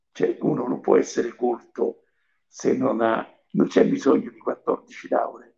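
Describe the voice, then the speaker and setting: A man at a very slow pace, with big swings in loudness. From central Italy (Lazio, province of Viterbo). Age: 80s+. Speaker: painter and artist. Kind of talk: interview. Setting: remote call. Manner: halting, with many repetitions.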